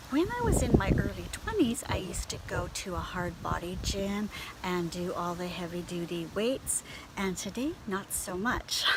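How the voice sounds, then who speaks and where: A woman with a Canadian accent at a moderate pace, over noticeable background noise. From Canada. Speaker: beauty and lifestyle blogger. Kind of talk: casual talk to camera. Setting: outdoors.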